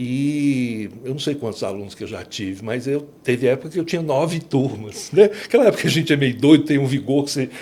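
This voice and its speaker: At a fairly quick pace, a man with a medium pitch speaks with lively intonation. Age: 60s. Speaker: law professor. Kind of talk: podcast interview. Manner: hesitant, many fillers.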